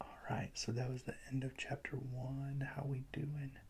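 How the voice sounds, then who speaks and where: A soft-spoken man talks at a fairly slow pace in a medium pitch. His tone is dark and mellow, and somewhat breathy. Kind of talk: ASMR book reading to help sleep. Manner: soft-spoken, relaxing.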